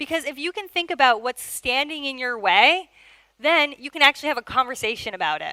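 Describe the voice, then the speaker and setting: A woman's raised, projected voice, high-pitched and bright with a sharp tone, fairly quick, with lively intonation and big swings in loudness, dry and close with no echo. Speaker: product manager. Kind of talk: conference talk. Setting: stage with audience.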